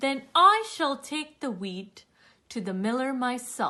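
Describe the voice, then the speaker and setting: A woman speaks in a put-on character voice, high-pitched and at a fairly slow pace. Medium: read story. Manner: earnest, resolute.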